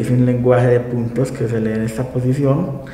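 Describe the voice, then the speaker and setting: A man speaks fairly slowly in a flat monotone at medium pitch, with audible room echo and noticeable background noise. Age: 20s. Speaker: lawyer, blind interviewee. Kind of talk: TV interview. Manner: halting, with fillers.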